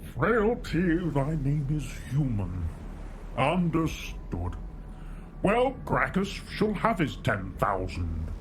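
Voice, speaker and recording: Over loud background noise, a man uses a put-on character voice at a very slow pace. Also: fairly high pitch for a man. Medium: video game. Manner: ornate, theatrical, condescending.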